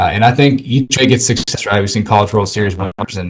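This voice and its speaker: Fairly low and somewhat breathy, a man with an American accent talks very fast with fairly even intonation. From Arizona. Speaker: mindset coach for athletes. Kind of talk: casual interview.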